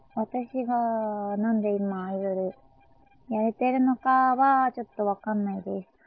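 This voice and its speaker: The woman's intonation is fairly even. She speaks at a fairly slow pace. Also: fairly high pitch for a woman. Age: 20s. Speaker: idol singer. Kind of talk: casual monologue. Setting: at home. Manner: halting.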